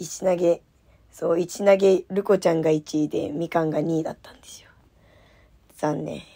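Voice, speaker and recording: A fairly low-pitched woman with a dark, mellow, relaxed tone and monotone, flat intonation, in a dry, close sound with no echo. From landlocked Japanese prefecture. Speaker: idol radio host. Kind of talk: casual solo radio talk. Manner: laughing often, relaxed.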